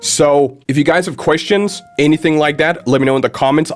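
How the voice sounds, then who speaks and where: Music plays in the background as a man speaks. His pitch is fairly high and his pace very fast. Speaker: YouTuber. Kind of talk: casual vlog monologue. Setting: home office studio. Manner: stuttering, halting.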